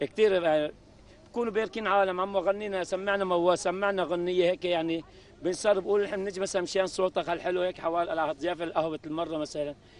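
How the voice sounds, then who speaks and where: The speech moves at a fairly quick pace with fairly even intonation. The sound is dry, with no echo. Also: man, high pitch for a man. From Aleppo, Syria. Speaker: coffee seller. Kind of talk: interview answer. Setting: outdoors. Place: street. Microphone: handheld.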